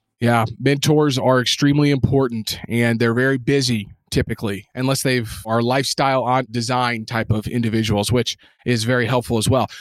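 A man speaks at a fairly quick pace with monotone, flat intonation. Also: medium pitch for a man, very even loudness. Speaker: real estate investor, fund co-founder. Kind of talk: interview. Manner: fast.

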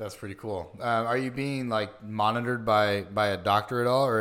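A man's fairly low-pitched, plain, everyday voice with fairly even intonation on a very clean recording with a silent background. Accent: American. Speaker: podcast host. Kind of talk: casual interview chat.

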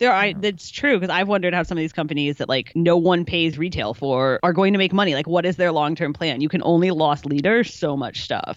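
In a normal speaking voice, a woman talks at a fairly quick pace with a fairly low pitch and ordinary pitch variation. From Chicago. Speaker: pro triathlete and journalist, co-host. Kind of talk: casual chat.

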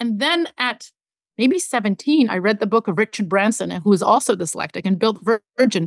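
A woman talks fairly quickly with lively intonation in a normal speaking voice. The sound is dry and close with no echo, over a quiet background. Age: 40s. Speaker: media executive. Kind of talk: interview.

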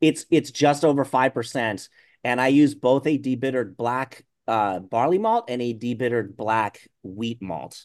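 A man with a plain, everyday voice, medium pitch, ordinary pitch variation and a moderate pace against a quiet background. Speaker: brewer. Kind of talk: interview.

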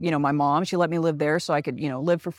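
The voice carries an American accent, with a dry, close sound and no echo. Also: woman. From Texas, Dallas. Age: 40s. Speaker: travel company owner. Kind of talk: casual chat.

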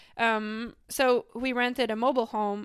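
A woman speaks in a Quebec accent with monotone, flat intonation. The recording is very clean, with a silent background. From Quebec, Canada. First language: French. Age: 20s. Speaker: professional cyclist. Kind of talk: interview. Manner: halting.

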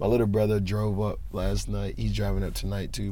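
A man's fairly quick delivery is heard with audible room echo. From Charlotte, North Carolina. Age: 20s. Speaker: rapper. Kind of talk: interview.

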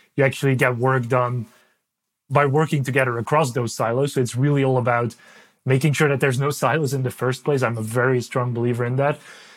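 In a Dutch accent, a man talks at a very fast pace with a medium pitch and a monotone, flat intonation, recorded very cleanly against a silent background. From Belgium. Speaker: ed tech executive. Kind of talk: interview. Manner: halting.

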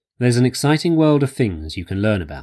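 A man with an English accent speaks at a medium pitch in a dark, mellow tone. His pitch swings very widely on a very clean recording with a silent background. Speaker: voiceover reader. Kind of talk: reading aloud.

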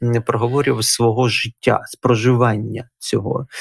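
A man with an unremarkable speaking voice and medium pitch talks at a fairly slow pace. His intonation is fairly even, and the sound is dry and close with no echo. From Ukraine, Donetsk. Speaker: historian and religious scholar, former captive. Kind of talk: interview.

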